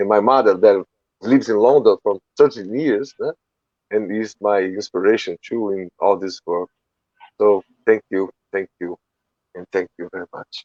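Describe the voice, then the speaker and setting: A man with a Portuguese accent speaks at a fairly low pitch and a moderate pace, with ordinary pitch variation, big swings in loudness, long and frequent pauses, and a dry, close sound with no echo. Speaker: charity organizer. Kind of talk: closing remarks in interview. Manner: halting.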